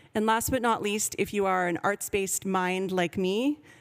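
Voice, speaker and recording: A woman with a Canadian accent has a plain, everyday voice at medium pitch. She talks at a moderate pace with ordinary pitch variation. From Canada, Vancouver. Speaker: professor. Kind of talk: conference presentation.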